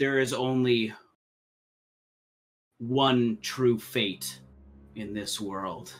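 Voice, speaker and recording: A man speaks in a put-on character voice at a medium pitch, very slowly, with long, frequent pauses. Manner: ghostly, otherworldly.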